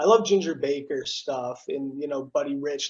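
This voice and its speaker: Using lively intonation, a man talks at a moderate pace in a fairly high pitch. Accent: slight East Coast. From South Jersey (Cherry Hill), near Philadelphia. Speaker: TV news broadcaster. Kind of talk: casual interview chat. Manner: animated.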